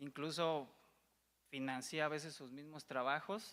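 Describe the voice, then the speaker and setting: Monotone, flat delivery in a bright, sharp tone at a fairly slow pace, on a very clean recording with a silent background. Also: man. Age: young. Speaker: documentary filmmaker pitching a project. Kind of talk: pitch presentation. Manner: halting, many repetitions.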